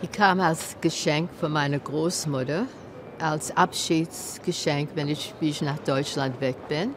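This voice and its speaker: Through noticeable background noise, a woman with a very deep, low pitch speaks at a very slow pace with ordinary pitch variation. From Germany, Kassel. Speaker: Holocaust survivor. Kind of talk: interview testimony. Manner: halting.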